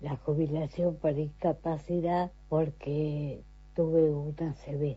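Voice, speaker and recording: A woman speaks at a very slow pace with a very deep, low pitch. Her voice is somewhat breathy. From Argentina, Entre Ríos (Concepción del Uruguay). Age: 70s. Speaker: retired court employee and garden volunteer. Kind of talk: recorded testimony.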